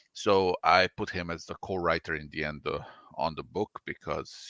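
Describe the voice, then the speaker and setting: In a Croatian accent, a man talks at a moderate pace with a very deep, low pitch and ordinary pitch variation. His tone is bright and sharp, and the sound is dry and close with no echo against a quiet background. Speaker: comic artist and writer. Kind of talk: interview.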